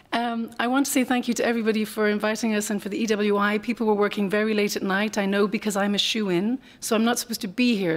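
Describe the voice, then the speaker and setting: Here a woman speaks at a very fast pace in an Irish accent. Her pitch sits in the medium range. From Ireland. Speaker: NGO policy analyst, former professor. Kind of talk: conference panel talk. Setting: conference panel with audience.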